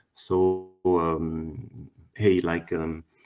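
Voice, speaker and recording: A man speaks with a French accent. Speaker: workshop presenter. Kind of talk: conference presentation. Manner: halting, many fillers.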